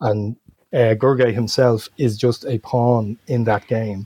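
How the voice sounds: Speaking slowly with a Dublin accent, a man has a medium pitch and fairly even intonation. His tone is dark and mellow. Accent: Dublin Irish.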